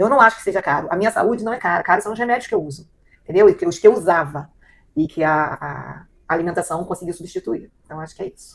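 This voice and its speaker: The pace is very fast, with ordinary pitch variation. Loudness swings widely. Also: woman, medium pitch for a woman. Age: 60s. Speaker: client. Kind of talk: testimony. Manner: halting.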